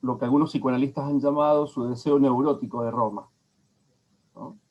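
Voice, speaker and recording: A normal speaking voice moves at a moderate pace with fairly even intonation. Its loudness swings widely. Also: man, fairly high pitch for a man. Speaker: lecturer. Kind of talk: lecture.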